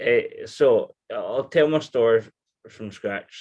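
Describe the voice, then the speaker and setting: With a Scottish accent, a man speaks at a very slow pace. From Scotland. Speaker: person with alcoholism telling his story. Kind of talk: personal testimony in interview. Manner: halting, many restarts.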